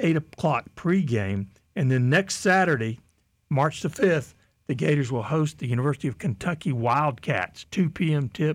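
A man with a normal speaking voice, pitched fairly high, talks at a fairly slow pace with lively intonation on a very clean recording with a silent background. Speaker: radio host. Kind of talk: radio host patter. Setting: radio studio.

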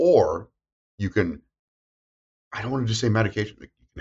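Somewhat breathy, a man talks at a fairly low pitch and a fairly quick pace. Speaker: therapist. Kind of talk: casual chat. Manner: fast talker; animated.

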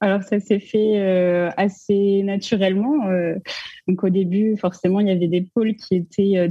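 A woman's somewhat breathy, medium-pitched voice at a moderate pace, with fairly even intonation. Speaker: arts management student. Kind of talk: casual chat.

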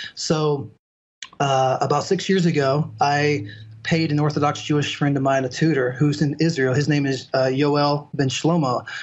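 Speaking at a moderate pace, a man has an ordinary speaking voice, fairly high in pitch, with fairly even intonation and very even loudness. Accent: American. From US South, southern Mississippi and Alabama (Mobile area). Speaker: biblical languages tutor. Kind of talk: casual chat.

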